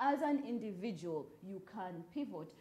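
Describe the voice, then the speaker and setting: Amid audible room echo, a woman with a fairly high pitch and a dark, mellow, somewhat breathy tone makes very wide pitch swings. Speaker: writer and storyteller. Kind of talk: talk show interview. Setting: live broadcast and Twitter space.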